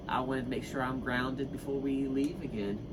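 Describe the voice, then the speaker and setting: A man talks at a fairly quick pace in a fairly high pitch. Noticeable background noise and audible room echo surround his voice. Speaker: vlogger. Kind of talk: casual chat. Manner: repeats words, halting.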